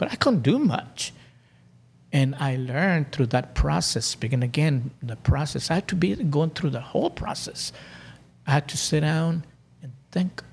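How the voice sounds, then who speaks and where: A man's fairly high voice with vocal fry and ordinary pitch variation. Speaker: life coach. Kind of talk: casual interview. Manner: slow, calm, deliberate.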